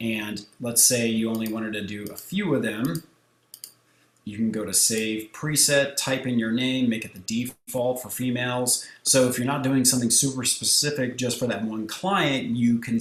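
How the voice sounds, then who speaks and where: A man talks at a medium pitch with fairly even intonation. Noticeable background noise runs beneath him. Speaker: photographer and software tutorial creator. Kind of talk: tutorial. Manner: casual, conversational.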